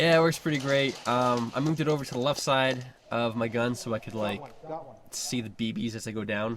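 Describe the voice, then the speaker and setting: Amid noticeable background noise, a man talks at a moderate pace and medium pitch with ordinary pitch variation. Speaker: airsoft player commentating gameplay. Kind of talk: casual chat. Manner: hesitant, many fillers.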